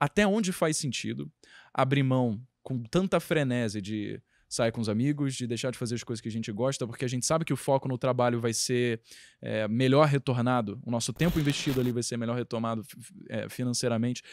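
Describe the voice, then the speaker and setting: A man's fairly quick speech with ordinary pitch variation, a dry sound with no echo and a quiet background. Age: 20s. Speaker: podcast host and content creator; podcast host, content creator. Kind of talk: podcast interview. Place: home room. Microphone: handheld.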